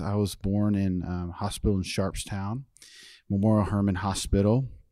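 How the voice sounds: A man with a slight Texas accent speaks at a moderate pace in a fairly low, dark, mellow voice with fairly even intonation. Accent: American, slight Texas twang.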